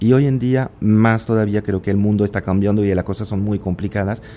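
The intonation stays fairly even while music plays in the background. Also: man. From France, small village. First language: French (speaking Spanish). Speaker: business executive. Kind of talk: interview.

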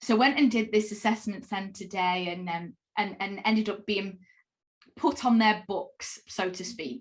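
This woman's voice sits at a medium pitch and is somewhat breathy. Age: 30s. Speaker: cloud sales specialist. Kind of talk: interview.

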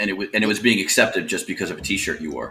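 Very fast speech from a man, noticeable background noise behind it. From Miami, South Florida. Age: 40s. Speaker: guest, metal fan. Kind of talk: casual chat.

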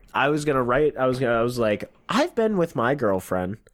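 With lively intonation and medium pitch, a man speaks in a normal speaking voice at a moderate pace. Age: 20s. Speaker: comedian. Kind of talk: casual chat.

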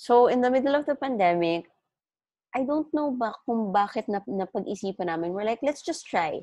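With a Filipino accent, the voice has a dark, mellow tone and very wide pitch swings over a quiet background. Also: woman, high pitch for a woman, moderate pace. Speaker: business founder. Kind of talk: casual interview chat. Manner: animated, code-switching Taglish.

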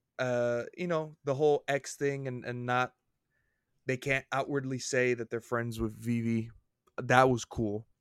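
A man with a normal speaking voice at medium pitch, fairly slow in pace and fairly even in intonation, with a dry, close sound with no echo on a very clean recording with a silent background. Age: 20s. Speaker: podcast co-host. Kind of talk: casual chat.

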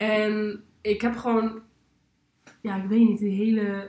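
Somewhat breathy, a woman's fairly high-pitched voice carries a dark, mellow tone. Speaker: podcast co-host. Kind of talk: casual chat.

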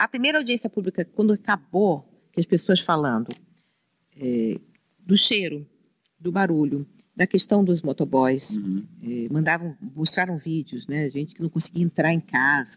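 A woman's fairly low voice with very wide pitch swings, a moderate pace, and a dry, close sound free of echo. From Rio de Janeiro, Brazil (Penha). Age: 60s. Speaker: city councillor, former bank executive. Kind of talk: casual interview chat.

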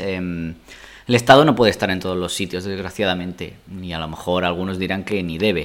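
Here a man talks at a fairly quick pace. His pitch is fairly low. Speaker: podcast guest, host's partner. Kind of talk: casual chat. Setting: home dining room.

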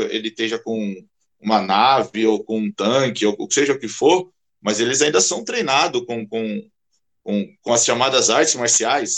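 This man has a medium pitch and an ordinary speaking voice. He speaks at a fairly slow pace. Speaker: karate instructor. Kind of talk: casual chat.

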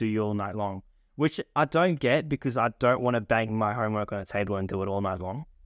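Speaking at a very fast pace, a man with an Australian accent talks at a fairly low pitch with ordinary pitch variation, in a dry, close sound with no echo against a quiet background. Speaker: podcast co-host. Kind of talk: casual chat.

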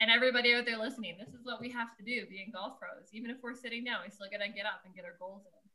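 Speaking with fairly even intonation, a woman has a fairly high pitch and a bright, sharp tone. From Nova Scotia, small town. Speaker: golf professional, podcast host. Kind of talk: casual chat.

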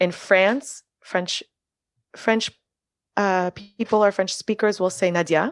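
Over a quiet background, a woman speaks at a very slow pace with long, frequent pauses, at a medium pitch with ordinary pitch variation. Her loudness is very even, and the sound is dry and close with no echo. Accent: American. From Miami, Florida. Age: 30s. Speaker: early childhood educator and artist. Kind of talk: casual chat.

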